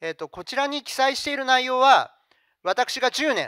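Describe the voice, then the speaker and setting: A man speaks in a raised, projected voice at an extremely high pitch, with a bright, sharp tone, lively intonation and a moderate pace, the sound dry with no echo over a quiet background. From Japan, Fukuoka; Japan. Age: 50s. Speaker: company CEO; presenter. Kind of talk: investor presentation. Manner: formal. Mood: polite, formal business tone. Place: hall. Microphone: handheld.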